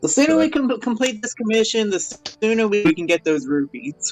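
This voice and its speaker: A man puts on a character voice, pitched high. He talks at a moderate pace over faint background music. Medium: actual play. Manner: brisk, impatient.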